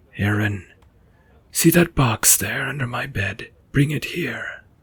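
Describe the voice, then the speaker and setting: A man puts on a solemn character voice at medium pitch. He speaks at a fairly slow pace. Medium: actual play. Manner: solemn, hushed.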